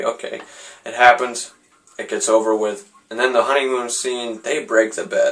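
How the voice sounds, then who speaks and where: The pace of this man's speech is moderate. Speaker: movie reviewer. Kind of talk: casual movie review. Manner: halting, many fillers and restarts.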